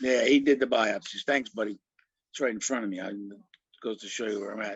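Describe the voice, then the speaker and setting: A man with a medium pitch talks very fast, his intonation fairly even but his loudness swinging widely. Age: 70s. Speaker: prostate cancer patient sharing his story. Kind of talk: testimony. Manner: halting, many fillers.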